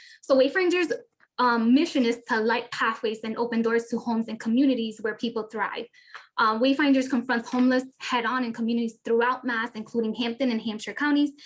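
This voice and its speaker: Here a woman is speaking. Her pitch is fairly high and her intonation fairly even. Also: fairly quick pace. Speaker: housing counselor. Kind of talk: presentation. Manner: fast.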